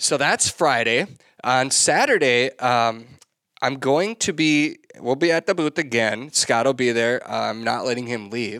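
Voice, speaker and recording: Bright and sharp in tone, this speaker with an American accent moves at a fairly slow pace with ordinary pitch variation, on a very clean recording with a silent background. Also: man, medium pitch for a man. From Minnesota. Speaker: podcast host, upland bird hunting. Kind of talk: casual chat.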